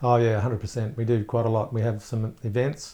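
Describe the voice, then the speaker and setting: A somewhat breathy man with an Australian accent, medium pitch, a monotone, flat intonation and a moderate pace against a quiet background. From Australia, Gosford, New South Wales. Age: 50s. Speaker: media entrepreneur. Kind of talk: interview.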